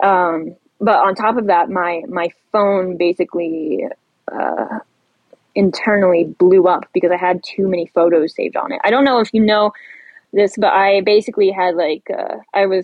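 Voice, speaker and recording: With an American accent, a woman talks at a moderate pace and medium pitch in an unremarkable speaking voice, her pitch varying in an ordinary way. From Ohio, US Midwest. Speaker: social media poster. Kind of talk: casual chat.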